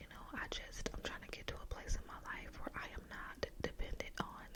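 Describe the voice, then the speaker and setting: Over noticeable background noise, the words are whispered. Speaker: ASMR creator. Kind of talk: ASMR whisper ramble.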